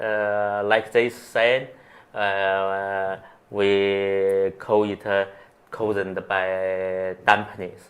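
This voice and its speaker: A man talks very slowly in a fairly low, monotone voice. He speaks with a Chinese accent and flat intonation. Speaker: acupuncturist. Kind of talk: interview. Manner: halting.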